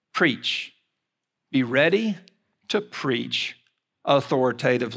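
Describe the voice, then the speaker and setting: With an Alabama accent, this man talks at medium pitch with vocal fry, a bright, sharp tone and lively intonation on a very clean recording with a silent background. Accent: Southern US (Alabama). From US South, Mobile, Alabama. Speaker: seminary president and preacher. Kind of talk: sermon. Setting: chapel service with audience.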